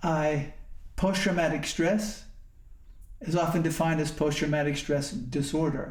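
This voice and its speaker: With an American accent, a man speaks at a fairly high pitch and a fairly slow pace, with long, frequent pauses. His loudness stays very even, his intonation fairly even, and there is audible room echo. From US Northeast, northwest Pennsylvania. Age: 70s. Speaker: Zen monk and war veteran speaker. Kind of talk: talk to company employees. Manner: halting, with fillers and restarts.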